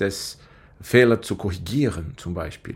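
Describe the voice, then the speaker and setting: A man speaks with a Portuguese accent. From Brazil. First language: Portuguese (speaking German). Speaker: IT specialist. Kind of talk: podcast interview.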